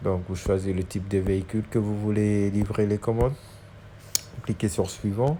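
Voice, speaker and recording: Fairly low pitch and fairly slow pace in a man's voice. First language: Dutch (speaking French). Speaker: YouTuber giving delivery job tips. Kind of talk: tutorial. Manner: halting, many hesitations and repetitions.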